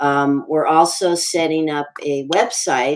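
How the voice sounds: This woman's voice is low in pitch and shows little pitch movement.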